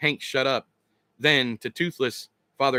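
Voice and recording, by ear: A natural-sounding read-aloud voice with ordinary pitch variation against a quiet background.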